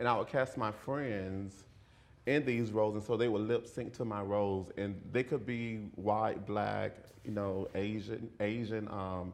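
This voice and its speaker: A man's fairly low voice in a Southern accent, fairly slow and fairly even in intonation, with audible room echo. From US South, rural central Florida. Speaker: video and performance artist. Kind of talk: lecture. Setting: lecture hall with audience. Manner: halting, repeats words.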